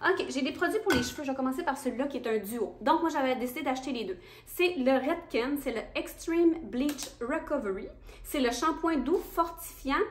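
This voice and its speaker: A woman's high-pitched voice, lively in intonation, at a moderate pace. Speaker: beauty youtuber. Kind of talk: casual product review vlog.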